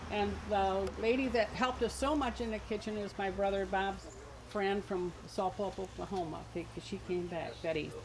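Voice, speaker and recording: Speaking at a medium pitch with hardly any pauses, a woman is heard over noticeable background noise and audible room echo. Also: ordinary pitch variation, moderate pace. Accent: American. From Alloway, western New York. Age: 60s. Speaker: picnic attendee introducing family. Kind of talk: informal speech to a gathering.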